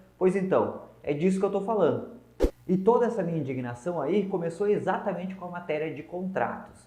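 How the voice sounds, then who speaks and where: Audible room echo surrounds a man speaking in a southern Brazilian accent, his tone dark and mellow and his pitch high. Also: ordinary pitch variation, fairly quick pace. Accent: gaúcho accent, noticeable. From southern Brazil, Rio Grande do Sul (north coast). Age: 20s. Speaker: lawyer and legal adviser giving business talks. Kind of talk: online talk to small business owners.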